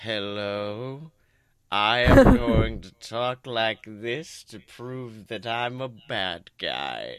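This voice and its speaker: A man's put-on character voice, medium in pitch, at a very slow pace. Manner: slow, deliberate, sinister.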